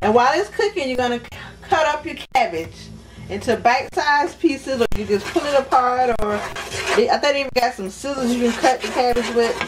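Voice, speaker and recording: Speech at a fairly quick pace is heard over light background noise. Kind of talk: cooking tutorial. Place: kitchen. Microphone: camera far.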